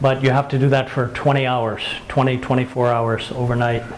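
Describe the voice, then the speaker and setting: A man talks in a medium-pitched voice with monotone, flat intonation. Noticeable background noise runs underneath. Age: 70s. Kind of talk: casual how-to demonstration to camera.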